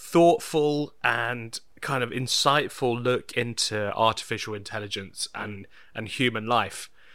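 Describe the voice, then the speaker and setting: Speaking very slowly with a British accent, a man has a bright, sharp tone on a very clean recording with a silent background. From Britain. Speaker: podcast host. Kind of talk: casual chat. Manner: halting.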